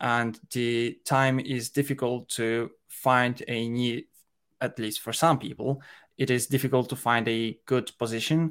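A man with a Polish accent speaks at a fairly slow pace. His medium-pitched voice has monotone, flat intonation. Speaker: head of operations at a software company. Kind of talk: casual chat. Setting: video call at night.

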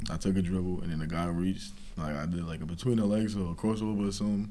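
Very fast speech in a New York accent carries ordinary pitch variation. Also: man. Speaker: college basketball player. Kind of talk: casual interview.

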